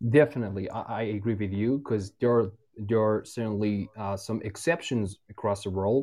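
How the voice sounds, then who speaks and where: Speaking at a moderate pace with an Iranian accent, a man uses a fairly low pitch and ordinary pitch variation. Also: hardly any pauses. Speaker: caller. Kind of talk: casual phone chat. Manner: halting, hesitant.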